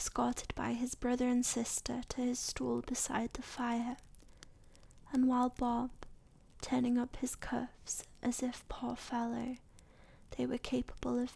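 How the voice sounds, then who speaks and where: Speaking softly, a woman leaves long pauses often. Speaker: ASMR content creator. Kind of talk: soft-spoken ASMR story reading. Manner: soft-spoken, relaxing.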